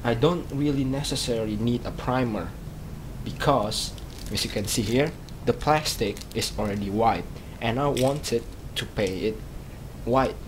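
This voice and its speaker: Amid noticeable background noise and audible room echo, a man with a non-native accent speaks fairly slowly at medium pitch with ordinary pitch variation. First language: not English. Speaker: hobbyist vlogger. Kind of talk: casual tutorial vlog. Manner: halting, many fillers and repeats.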